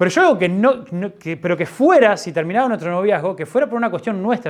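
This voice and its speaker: In a Uruguayan accent, a man talks at a very fast pace, his pitch high for a man with ordinary variation. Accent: Rioplatense Spanish (Uruguayan). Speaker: pastor. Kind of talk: sermon. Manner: halting, with many false starts.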